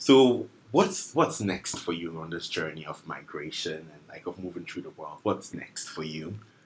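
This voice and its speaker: Over noticeable background noise, a man talks with hardly any pauses and big swings in loudness. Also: moderate pace. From Accra, Ghana. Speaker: podcast host. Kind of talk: casual interview.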